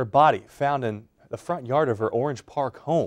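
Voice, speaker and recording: This man has a normal speaking voice, moving at a fairly quick pace with ordinary pitch variation. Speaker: TV news anchor. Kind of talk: TV news read.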